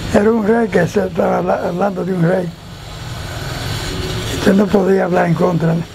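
A man with a high pitch speaks in a monotone, flat intonation, pausing long and often. Noticeable background noise is present. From Dominican Republic. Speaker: retired police officer. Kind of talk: interview answer. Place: street. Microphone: lapel.

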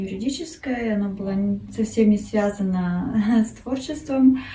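A woman with a fairly high pitch and a dark, mellow tone speaks at a moderate pace, somewhat breathy with ordinary pitch variation, amid light background noise and audible room echo. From Russia, Kurgan; Russia. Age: 30s. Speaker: art contest entrant, design student. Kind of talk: self-introduction video; contest self-presentation. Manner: halting, many fillers. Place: home room. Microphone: phone near.

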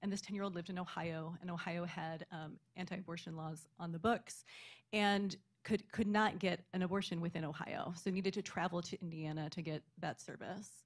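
This woman talks at a fairly quick pace in an American accent, her fairly low voice somewhat breathy. Her intonation stays fairly even. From Kansas. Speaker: librarian; panelist. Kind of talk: panel discussion. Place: hall. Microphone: studio mic.

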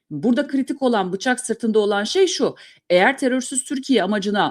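The background is silent and the recording very clean. It features a woman's voice. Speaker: journalist and news commentator. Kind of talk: solo news commentary. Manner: fast.

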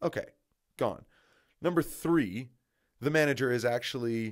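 A man talks at a moderate pace, with quiet all around him. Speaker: football commentator. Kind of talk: opinion commentary monologue. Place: home room. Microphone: studio mic.

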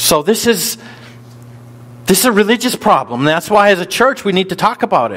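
Speaking at a fairly quick pace with long, frequent pauses, a man with an American accent uses a high voice with very wide pitch swings. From US North. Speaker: pastor. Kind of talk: sermon. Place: church.

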